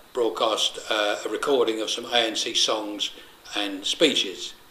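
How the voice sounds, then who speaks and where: Noticeable background noise sits behind a man speaking with a London accent. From London, England. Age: 60s. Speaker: political activist. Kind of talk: solidarity message. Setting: private flat. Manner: hesitant, frequent fillers.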